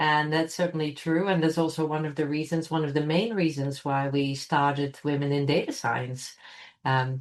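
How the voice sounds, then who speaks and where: A speaker with a Dutch accent talks at a moderate pace. The intonation stays fairly even. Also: woman, very deep, low pitch for a woman. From Netherlands. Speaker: computational scientist. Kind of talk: interview. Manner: hesitant, many fillers.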